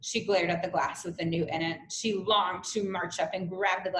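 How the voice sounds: A natural reading voice keeps its intonation fairly even.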